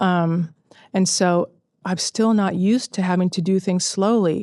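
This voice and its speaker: With a Californian accent, a woman speaks at medium pitch in a dark, mellow tone, keeping a fairly slow pace and fairly even intonation over a quiet background, the sound dry and close with no echo. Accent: Californian American. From Southern California. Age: 40s. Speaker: cancer survivor and author. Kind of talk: interview testimony. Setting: outdoors.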